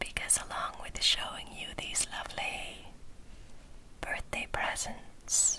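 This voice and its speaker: Whispering at a very slow pace in a gentle, relaxed tone, a woman is heard over noticeable background noise. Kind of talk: casual talk to camera about skincare products.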